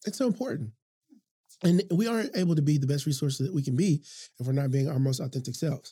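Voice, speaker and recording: A man with a dark, mellow, somewhat breathy tone and lively intonation talks very fast yet takes long, frequent pauses. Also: fairly high pitch for a man. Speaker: teacher and workshop facilitator. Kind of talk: casual chat.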